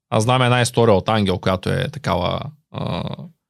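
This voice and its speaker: Recorded very cleanly against a silent background, a man speaks at a medium pitch and a moderate pace. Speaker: podcast host. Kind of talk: interview.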